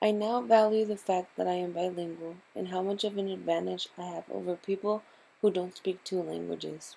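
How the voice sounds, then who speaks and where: In a Spanish accent, this woman talks at a moderate pace. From San Antonio, Texas (Mexican-born, moved at age 2). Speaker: student. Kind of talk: scripted narration.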